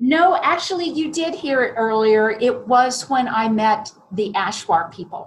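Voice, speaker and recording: Speaking at a fairly slow pace with hardly any pauses, a woman with an American accent has a high voice. Her pitch swings very widely. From US Midwest, southern Ohio. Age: 60s. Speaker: podcast guest, IT salesperson and business owner. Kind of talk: interview.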